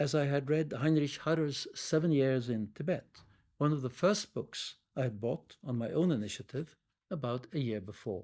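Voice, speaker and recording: A man talks with a Norwegian accent in a fairly high pitch. His pitch varies in an ordinary way, in a very clean recording with a silent background. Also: moderate pace. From Norway (Oslo). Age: 70s. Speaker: Tibetan studies professor. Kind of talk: oral history interview, reading prepared memoir. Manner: formal.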